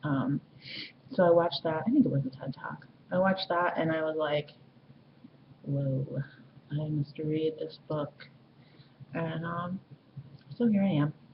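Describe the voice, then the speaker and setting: Over noticeable background noise, a woman with a very deep, low pitch speaks at a fairly slow pace, using ordinary pitch variation and long, frequent pauses. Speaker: vlogger. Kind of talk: casual vlog monologue. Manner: halting, many fillers.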